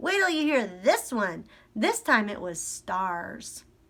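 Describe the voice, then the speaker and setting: A cheerful put-on character voice from a woman, fairly high and fairly slow, with very wide pitch swings. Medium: read story. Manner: cheerful, chatty.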